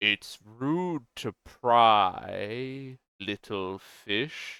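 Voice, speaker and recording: A man performs a put-on character voice. His pitch sits at a medium level. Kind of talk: fantasy villain voice. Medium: actual play. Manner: condescending, menacing.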